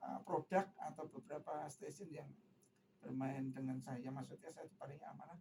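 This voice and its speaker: A man speaks at a moderate pace with lively intonation. His voice is somewhat breathy. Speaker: singer, tribute performer. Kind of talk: radio interview.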